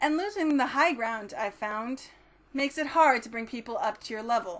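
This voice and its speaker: Her voice is high-pitched, and the woman talks at a moderate pace with lively intonation. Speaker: poet. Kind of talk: spoken word poetry performance. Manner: rhythmic.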